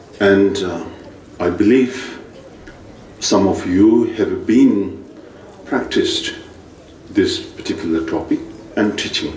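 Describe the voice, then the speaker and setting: With a Tibetan accent, a man speaks at a very slow pace with long, frequent pauses, amid noticeable background noise and audible room echo. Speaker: Buddhist teacher. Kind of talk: dharma teaching lecture. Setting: monastery teaching session.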